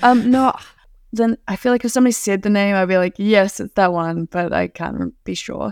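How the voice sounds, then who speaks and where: A woman with a slight New Zealand accent talks at a fairly quick pace, her medium pitch moving with ordinary variation. The sound is dry and close, with no echo. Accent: mild New Zealand. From New Zealand, Auckland. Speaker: adventure filmmaker and thru-hiker. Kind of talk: casual chat. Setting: remote call. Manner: relaxed.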